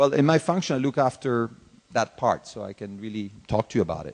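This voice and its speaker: The voice moves at a fairly quick pace. The sound is dry and close with no echo. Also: man. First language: Italian. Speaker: corporate executive. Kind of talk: conference Q&A.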